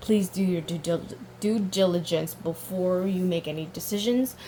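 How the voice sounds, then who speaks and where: At a moderate pace, a woman of medium pitch speaks with ordinary pitch variation over noticeable background noise. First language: not English. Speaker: tarot reader. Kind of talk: tarot reading. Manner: halting, self-correcting; animated.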